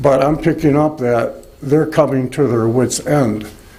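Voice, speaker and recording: Audible room echo surrounds a man's voice. He speaks at a fairly high pitch with ordinary pitch variation. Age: 60s. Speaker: resident speaking at public comment. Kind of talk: public comment at township meeting. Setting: township board meeting. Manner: halting.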